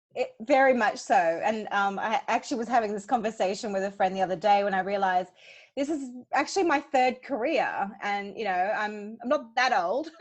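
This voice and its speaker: Against a quiet background, a woman with an Australian accent talks at a fairly quick pace, with a fairly high pitch and ordinary pitch variation. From Hong Kong, Australian parents. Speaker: childbirth educator and doula. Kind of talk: interview conversation.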